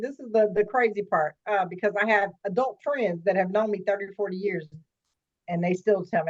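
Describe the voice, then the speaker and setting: Fairly quick in pace, a woman talks at medium pitch. She has an ordinary speaking voice. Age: 50s. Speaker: life coach. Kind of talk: interview.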